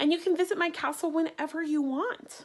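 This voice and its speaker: A woman puts on a character voice at an extremely high pitch. Her intonation stays fairly even and her pace is fairly quick. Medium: read story.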